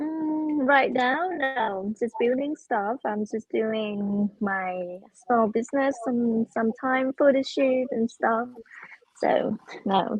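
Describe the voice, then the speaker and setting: Very slow speech from a woman with a Thai accent, high-pitched, with ordinary pitch variation. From Thailand. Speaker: blind date contestant. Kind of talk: casual chat. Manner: halting.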